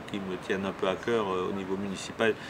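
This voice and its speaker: A man speaks with fairly even intonation. There is noticeable background noise and audible room echo. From Alsace, France. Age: 60s. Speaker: local politician. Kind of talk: self-introduction interview. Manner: halting, many hesitations.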